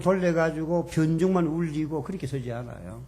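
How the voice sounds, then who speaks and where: In a room with audible echo, a man speaks at a moderate pace with a fairly high pitch and a dark, mellow tone. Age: 70s. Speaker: seminary professor. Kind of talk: lecture. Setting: church seminar with audience.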